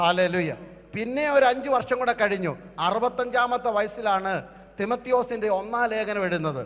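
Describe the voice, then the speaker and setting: A man with a high pitch talks in an animated tone with ordinary pitch variation. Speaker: pastor. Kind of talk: sermon. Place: stage. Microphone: handheld.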